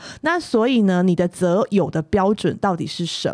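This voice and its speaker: This is a woman speaking at a medium pitch. Noticeable background noise runs under her voice. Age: 40s. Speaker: podcast co-host. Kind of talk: casual chat; scripted narration.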